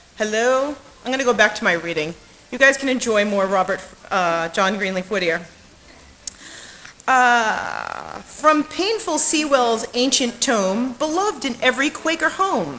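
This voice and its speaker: Loud and with very wide pitch swings, a woman speaks at a fairly high pitch over noticeable background noise. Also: fairly slow pace. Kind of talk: mic check and poetry reading.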